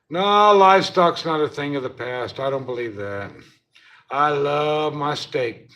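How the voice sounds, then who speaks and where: Lively intonation from a man at a fairly slow pace. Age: 60s. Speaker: livestreamer and former hay farmer. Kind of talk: casual live stream chat. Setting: hotel room, 24th floor. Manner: halting.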